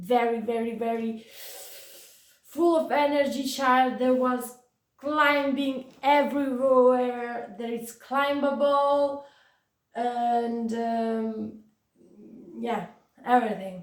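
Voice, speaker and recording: In a room with audible echo, a woman with an Italian accent speaks at a high pitch and very slow pace. Her intonation is fairly even, and she pauses long and often. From Italy, Florence. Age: 20s. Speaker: vlogger with chronic pain. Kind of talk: personal testimony vlog. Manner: hesitant, many fillers.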